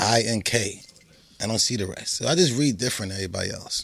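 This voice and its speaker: A man talks at a fairly quick pace in a normal speaking voice. His pitch is medium. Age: 30s. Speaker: podcast co-host. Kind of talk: casual chat.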